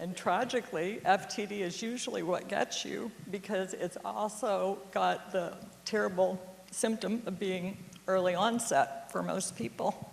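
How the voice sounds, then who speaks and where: Over noticeable background noise, a woman with a medium pitch speaks at a fairly slow pace, with ordinary pitch variation. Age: 60s. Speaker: storyteller. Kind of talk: storytelling talk.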